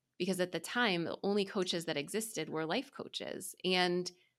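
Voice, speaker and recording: A woman talks at a fairly quick pace in a normal speaking voice, her pitch fairly low. The recording is very clean, with a silent background. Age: 40s. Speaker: insurance executive and podcaster. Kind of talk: casual interview conversation.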